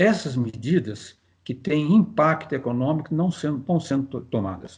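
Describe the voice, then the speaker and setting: Against a quiet background, a man speaks in a somewhat breathy voice at a fairly slow pace. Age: 70s. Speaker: physicist and professor. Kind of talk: interview. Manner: halting, with many fillers.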